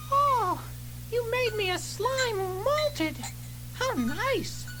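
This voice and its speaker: A squeaky, put-on character voice creeps along at a very slow pace over loud background noise. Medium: read story.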